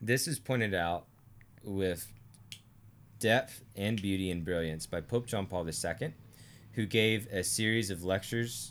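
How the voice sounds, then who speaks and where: Speaking with an American accent, a man with a fairly low pitch holds a moderate pace and ordinary pitch variation. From US South, Arkansas. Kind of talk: theology discussion.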